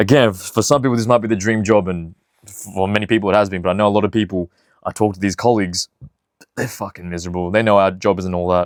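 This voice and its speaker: This man talks at a very fast pace in a fairly low voice with fairly even intonation. The recording is very clean, with a silent background and a dry, close sound with no echo. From outside the UK. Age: 20s. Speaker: vlogger and TV director. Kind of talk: casual vlog talk. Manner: casual, sweary.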